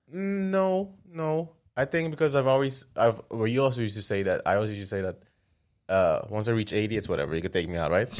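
Very fast and with very wide pitch swings, a man speaks at a medium pitch. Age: 30s. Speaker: podcast co-host. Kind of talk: casual chat.

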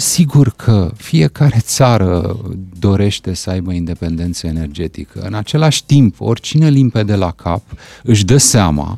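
The sound is dry and close, without any echo. A man talks fairly slowly. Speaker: political commentator. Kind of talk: radio interview. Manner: calm.

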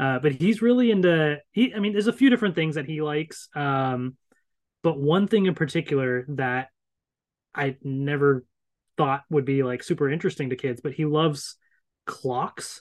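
A man speaks with an American accent. His pitch is fairly high and his intonation is lively. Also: moderate pace. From Northern Virginia, US. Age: 30s. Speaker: YouTuber, guest co-host. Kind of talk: casual chat.

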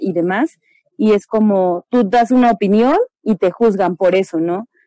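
A woman with a dark, mellow tone and medium pitch speaks at a fairly slow pace in a dry, close recording with no echo. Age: 20s. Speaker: special education teacher. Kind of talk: casual panel discussion.

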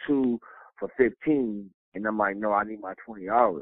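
A man speaking with fairly even intonation. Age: 30s. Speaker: personal chef and caterer. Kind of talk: casual interview. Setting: remote recording.

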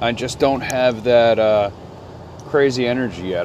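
Noticeable background noise runs under a man speaking at a moderate pace. His medium-pitched voice keeps a fairly even intonation. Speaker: podcast host. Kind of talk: casual solo podcast ramble. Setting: in a car. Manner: rambling, casual, profane.

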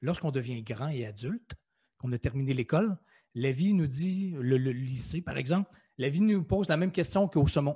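In a Quebec accent, a man with a fairly high pitch and a dark, mellow tone speaks at a moderate pace with lively intonation and a somewhat breathy quality, on a very clean recording with a silent background and a dry, close sound with no echo. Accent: Québécois French. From Quebec City, Quebec. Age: 40s. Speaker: author and motivational speaker. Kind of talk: interview.

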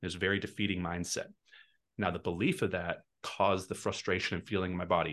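Against a quiet background, a man with an American accent rattles along at a very fast pace in a very deep, low pitch. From Texas. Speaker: real estate team leader and investor. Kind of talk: podcast interview.

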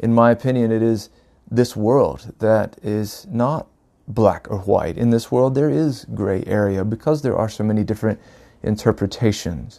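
In a very clean recording with a silent background, a man with an American accent talks at a moderate pace in a medium pitch with a dark, mellow tone. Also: ordinary pitch variation. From US South, North Carolina. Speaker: podcaster, spiritual storyteller. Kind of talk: reflective solo monologue. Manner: halting, many fillers.

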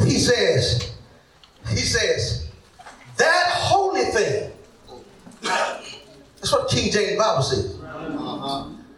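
Over noticeable background noise and audible room echo, a man speaks at a very slow pace with long, frequent pauses. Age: 40s. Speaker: pastor. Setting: church. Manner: animated, stammering restarts when fired up; rising, rhythmic repetition with shouted prompts to the crowd.

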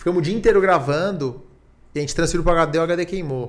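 A man with a normal speaking voice, fairly high pitched, at a fairly quick pace with ordinary pitch variation. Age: 30s. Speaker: tech entrepreneur. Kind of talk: casual chat.

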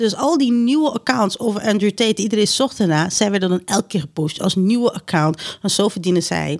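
A woman with an unremarkable speaking voice, medium-pitched, at a fairly quick pace with lively intonation, hardly any pauses and very even loudness. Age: 30s. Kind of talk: casual chat.

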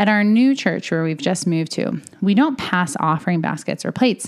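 A woman with a normal speaking voice talks at a fairly quick pace in a medium pitch, her intonation lively. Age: 30s. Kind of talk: solo podcast monologue.

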